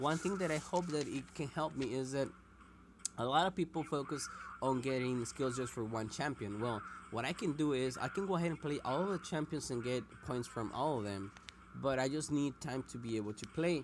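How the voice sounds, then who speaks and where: A speaker with a non-native accent talks at a moderate pace. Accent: non-native English (self-described). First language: Spanish. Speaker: mobile game streamer. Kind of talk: casual gameplay commentary. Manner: halting.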